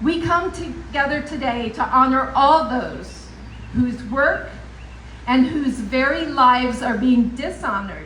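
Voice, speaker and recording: In a room with audible echo and noticeable background noise, a woman projects a raised voice at high pitch, speaking at a fairly slow pace with ordinary pitch variation. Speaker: professor at political rally. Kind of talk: rally speech. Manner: loud.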